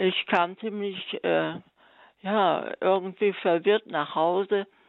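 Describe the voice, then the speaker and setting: A woman at medium pitch speaks very slowly in a flat monotone. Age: 80s+. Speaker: missionary nun. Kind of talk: testimony. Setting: phone call.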